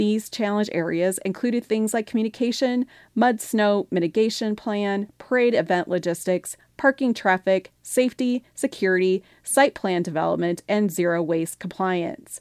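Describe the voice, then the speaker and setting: In a plain, everyday voice, a woman talks at a moderate pace and medium pitch with ordinary pitch variation and hardly any pauses, the sound dry and close with no echo. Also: very clean recording, silent background. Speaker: radio news reader. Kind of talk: news reading. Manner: formal, steady.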